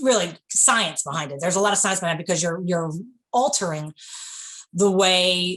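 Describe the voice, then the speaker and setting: With a New York accent, a woman speaks at a fairly quick pace. Her pitch varies in an ordinary way. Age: 40s. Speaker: bakery owner. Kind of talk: interview. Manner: animated.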